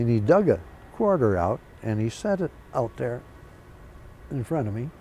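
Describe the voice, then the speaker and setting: This man has a medium pitch and a dark, mellow tone. His voice makes very wide pitch swings at a moderate pace. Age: 80s+. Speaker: Korean War veteran pilot. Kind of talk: oral history interview. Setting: museum.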